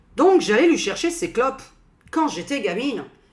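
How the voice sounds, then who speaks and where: A woman with an Alsatian accent talks in an animated tone, her pitch swinging very widely. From France, Alsace (Strasbourg). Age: 40s. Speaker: YouTuber and psychic. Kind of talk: casual vlog monologue.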